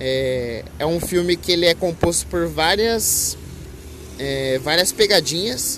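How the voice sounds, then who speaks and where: Music plays in the background as the speech moves at a very slow pace with ordinary pitch variation. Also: man, fairly high pitch for a man. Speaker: podcaster. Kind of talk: casual monologue. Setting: outdoors by a busy avenue. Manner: loud; halting.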